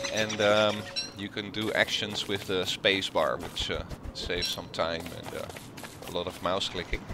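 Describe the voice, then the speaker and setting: Background noise is noticeable here. A man talks at a fairly slow pace. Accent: strong Dutch. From Netherlands. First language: Dutch. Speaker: gaming video creator. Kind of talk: let's play commentary. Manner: halting, many filler sounds. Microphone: poor sound quality, old headset.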